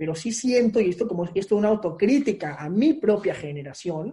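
This man has a high pitch and a dark, mellow tone, speaking at a fairly slow pace with lively intonation. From Peru. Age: 20s. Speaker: political candidate. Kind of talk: interview.

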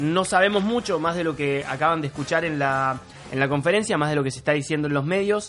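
Against noticeable background noise, a man speaks at a fairly quick pace, his voice fairly high with ordinary pitch variation. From Argentina, Córdoba. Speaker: podcast co-host. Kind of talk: casual chat.

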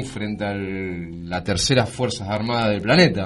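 A man's voice, varying in pitch in the usual way, carries audible echo from the room. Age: 40s. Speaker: radio host. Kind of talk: interview. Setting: studio.

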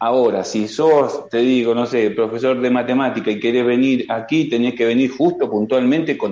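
A man with an Argentine accent speaks at a medium pitch and moderate pace. His intonation is fairly even, and the background is quiet. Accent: Argentine Spanish (voseo). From Argentina. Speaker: construction worker, immigrant. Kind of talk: video call interview. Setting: video call.

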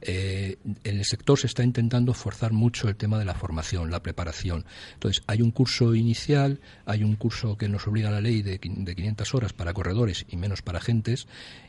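Against a quiet background, a man talks at a fairly quick pace in a fairly low pitch, his dark, mellow tone somewhat breathy with ordinary pitch variation. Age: 50s. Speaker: insurance broker. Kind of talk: radio interview.

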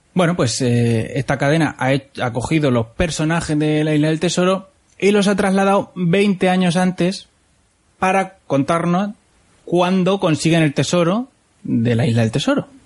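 At a moderate pace, a man talks in a high pitch with lively intonation and very even loudness. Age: 30s. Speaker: podcast host. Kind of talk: casual chat.

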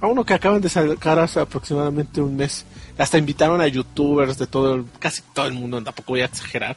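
A man with a Mexican accent talks at a very fast pace. His pitch is fairly high, with ordinary pitch variation. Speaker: gaming podcast co-host. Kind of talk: casual chat.

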